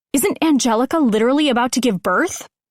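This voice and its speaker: Putting on a growling character voice, a woman speaks very fast at a high pitch with lively intonation. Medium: read story. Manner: dry, deadpan.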